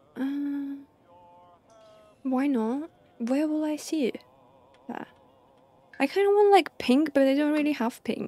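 A soft-spoken woman's high voice with long, frequent pauses, a dry sound with no echo and faint music in the background. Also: ordinary pitch variation, fairly slow pace. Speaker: streamer; game streamer. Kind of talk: live gameplay commentary. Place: home room. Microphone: studio mic.

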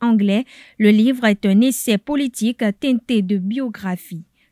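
A woman with a fairly high pitch and ordinary pitch variation speaks at a very slow pace, the sound dry and close with no echo. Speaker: TV news anchor. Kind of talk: news reading.

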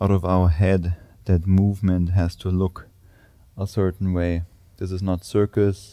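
Against a quiet background, a man speaks in a calm, dark, mellow tone with a very deep, low pitch, monotone, flat intonation, and a moderate pace. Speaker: yoga instructor. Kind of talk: guided yoga class with spoken cues. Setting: gym studio, filmed video. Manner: calm, steady, instructional; warm, encouraging, grounding. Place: gym.

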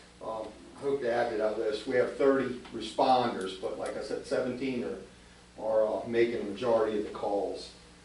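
Through noticeable background noise and audible room echo, a man talks at a moderate pace with hardly any pauses. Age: 60s. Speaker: volunteer fire chief. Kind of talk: report to a council meeting. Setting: borough council meeting. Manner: halting, many fillers and repeats.

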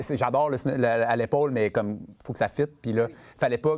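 A man's voice with ordinary pitch variation. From Quebec City; Quebec. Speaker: film director; guest. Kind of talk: masterclass interview with audience. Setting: stage with student audience. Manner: halting, many fillers and repetitions. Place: stage. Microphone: lapel.

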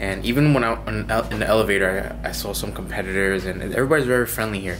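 A man talks at a very fast pace. Noticeable background noise runs underneath. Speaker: fitness competitor vlogger. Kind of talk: casual vlog chat. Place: home room. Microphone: phone near.

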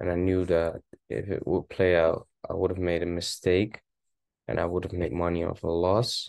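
Against a quiet background, a man with a Dutch accent speaks at a moderate pace in a very deep, low pitch with fairly even intonation. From Netherlands. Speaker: forex trading video host. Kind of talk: casual trading analysis monologue. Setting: screen-share video, home. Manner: casual, rambling, self-correcting.

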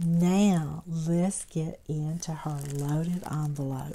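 A woman speaks very slowly in a Southern US accent, her pitch very deep and low. Her intonation is monotone and flat, with noticeable background noise. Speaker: crafting YouTuber. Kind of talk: craft haul show-and-tell.

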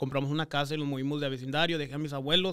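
Against a quiet background, a man speaks. His intonation is monotone and flat. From US, Texas Rio Grande Valley. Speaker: real estate investor. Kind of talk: interview storytelling. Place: studio. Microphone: studio mic.

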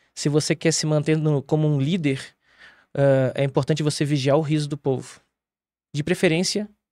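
With a dark, mellow tone and fairly even intonation, a man speaks at a moderate pace with long, frequent pauses, in a dry sound with no echo against a quiet background. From Rio Grande do Sul, Brazil. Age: 40s. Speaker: theatre director; guest. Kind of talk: interview. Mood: calm, reflective. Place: studio. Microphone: studio mic.

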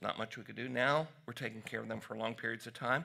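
A man in a Southern US accent, bright and sharp in tone, fairly even intonation, quiet background. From US South, Tennessee. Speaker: physician; presenter. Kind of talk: conference talk. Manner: casual. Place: hall.

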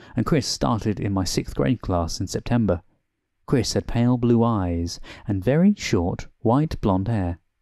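Someone is reading aloud in a natural voice. All around is quiet.

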